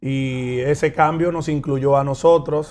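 This man's voice sits fairly high in pitch. The intonation holds fairly level. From Dominican Republic. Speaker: mayor and politician; mayor, politician. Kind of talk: interview. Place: studio. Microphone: lapel.

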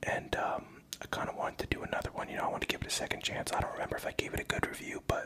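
Whispered speech from a man. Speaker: ASMR creator. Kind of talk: casual talk to camera. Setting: home video, drinking Hennessy. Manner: soft-spoken, rambling. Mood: reflective, personal story. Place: home room. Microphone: studio mic.

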